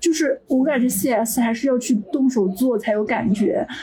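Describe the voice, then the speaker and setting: Noticeable background noise sits behind a woman whose voice is high-pitched. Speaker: software engineer. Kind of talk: casual chat.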